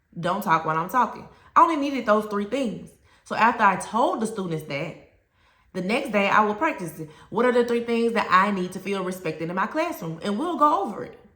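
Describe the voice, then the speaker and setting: Speaking with a Southern US accent, a woman of medium pitch moves at a fairly quick pace, with very wide pitch swings and big swings in loudness. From US South. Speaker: teacher and education coach. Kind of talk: educational talk to camera. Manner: conversational, direct.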